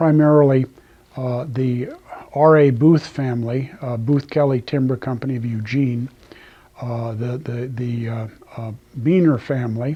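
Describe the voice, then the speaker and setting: With a Pacific Northwest accent, a man speaks at medium pitch and a moderate pace, his intonation fairly even. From central Oregon, US. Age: 70s. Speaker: retired lumber company president. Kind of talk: oral history interview. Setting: old company office. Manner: halting, many fillers.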